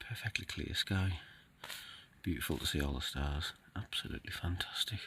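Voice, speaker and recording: The man's voice is very deep and low, with a bright, sharp tone, lively intonation and vocal fry. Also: moderate pace. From Cumbria, northern England. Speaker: outdoor vlogger. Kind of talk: casual vlog talk to camera. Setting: outdoors, in a tent on a fell.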